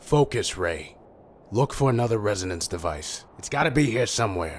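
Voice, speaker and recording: Putting on a raspy character voice, a man talks at a moderate pace and a medium pitch. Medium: video game.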